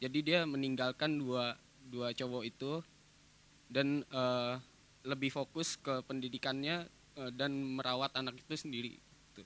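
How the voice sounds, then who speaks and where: A man speaks in a monotone, flat intonation at a fairly slow pace. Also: dry sound with no echo. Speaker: workshop participant. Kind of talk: audience question. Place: hall. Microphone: handheld.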